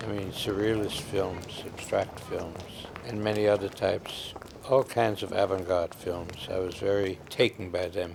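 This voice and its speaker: Through noticeable background noise, a man speaks at a fairly slow pace with a fairly low pitch and fairly even intonation. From Austria. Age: 80s+. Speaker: film society founder and festival programmer. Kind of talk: interview answer.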